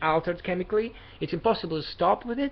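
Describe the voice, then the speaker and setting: The speaker has a non-native accent. The pace is fairly quick. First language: not English. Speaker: vlogger sharing personal experience. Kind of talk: personal advice monologue. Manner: halting, many fillers and restarts.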